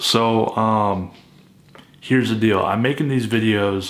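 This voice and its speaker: This is a man talking. His intonation stays fairly even. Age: 30s. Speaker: vlogger documenting jaw surgery. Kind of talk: casual vlog. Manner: halting, many fillers.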